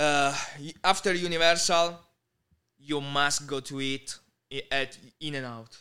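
A man with an Italian accent speaks at a fairly slow pace in a fairly high, bright, sharp voice with fairly even intonation, big swings in loudness and long, frequent pauses, on a very clean recording with a silent background. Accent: Italian-accented English, Bari. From Italy, Bari (Puglia). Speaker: content creator. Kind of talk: casual interview.

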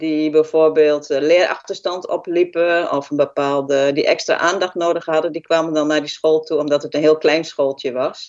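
A woman's very deep, low voice at a moderate pace, monotone and flat, with hardly any pauses. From Twente, eastern Netherlands (Haaksbergen). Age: 50s. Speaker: healthcare worker. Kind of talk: interview.

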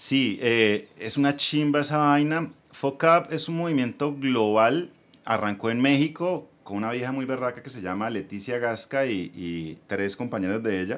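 A man with an ordinary speaking voice, medium in pitch, lively in intonation and fairly slow in pace, on a very clean recording with a silent background. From Colombia, Bucaramanga (Santander). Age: 40s. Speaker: entrepreneur, former ad agency owner. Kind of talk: casual interview.

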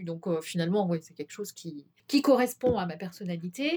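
At a moderate pace, a woman speaks in a somewhat breathy voice with very wide pitch swings. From Brittany, France. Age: 50s. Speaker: shopkeeper and naturopath. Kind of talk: interview. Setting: her office. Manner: hesitant, many fillers.

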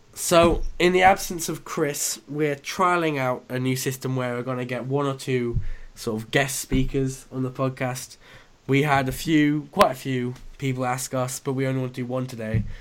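An unremarkable speaking voice from a man at medium pitch, moderate pace, and fairly even intonation. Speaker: podcast host. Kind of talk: casual chat. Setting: remote call recording.

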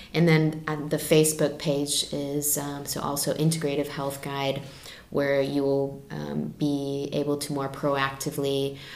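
With an American accent, a woman speaks at a very deep, low pitch in a monotone, flat intonation, with audible room echo and noticeable background noise. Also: fairly slow pace. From United States. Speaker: health practitioner. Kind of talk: casual chat.

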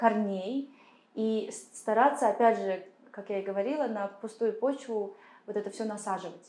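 This woman's voice has a dark, mellow tone, a fairly high pitch and fairly even intonation. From Kazakhstan. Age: 30s. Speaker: political consultant and activist. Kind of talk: interview. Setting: studio.

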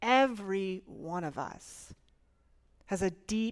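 A woman with an American accent speaks at a medium pitch with ordinary pitch variation, on a very clean recording with a silent background. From Florida. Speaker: pastor. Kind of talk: sermon. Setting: church.

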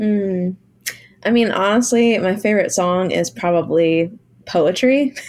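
A woman speaks in a normal speaking voice at a medium pitch, with ordinary pitch variation and very even loudness. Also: fairly slow pace. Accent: American. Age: 30s. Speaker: musician. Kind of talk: casual interview chat.

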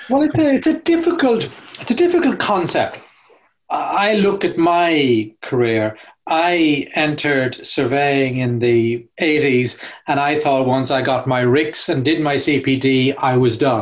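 A man with an Irish accent and a fairly high pitch, very slow in pace, with very even loudness and ordinary pitch variation. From Ireland. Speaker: corporate real estate expert and author. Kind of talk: podcast interview. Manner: hesitant, many fillers.

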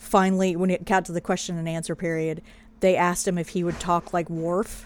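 In an American accent, a woman with an unremarkable speaking voice talks at a fairly low pitch with fairly even intonation. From Pennsylvania. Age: 40s. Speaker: podcast co-host. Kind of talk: casual chat.

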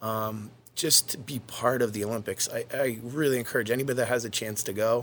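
A normal speaking voice, this man's sits at medium pitch with an American accent. He talks at a fairly quick pace with fairly even intonation. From Maine, US (Yarmouth). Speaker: college swim coach. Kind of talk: interview. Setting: studio.

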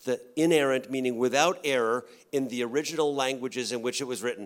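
A man talks at a fairly quick pace in a normal speaking voice, medium in pitch with ordinary pitch variation. The recording is very clean with a silent background. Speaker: campus pastor. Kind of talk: live church panel Q&A. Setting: church stage with audience.

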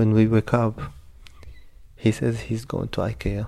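Somewhat breathy and dark, mellow in tone, a man's fairly low voice moves at a moderate pace. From Egypt. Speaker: refugee storyteller. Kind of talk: personal story narration.

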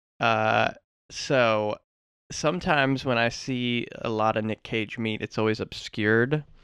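This man has a normal speaking voice at a medium pitch with ordinary pitch variation. The sound is dry and close, with no echo. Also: quiet background. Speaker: co-host. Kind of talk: casual comedic chat about a movie. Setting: recording studio.

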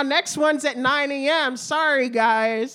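A woman's raised, projected voice in an American accent, high in pitch and bright and sharp in tone, at a very slow pace with ordinary pitch variation, on a very clean recording with a silent background. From New Jersey. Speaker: comedian. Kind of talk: casual chat.

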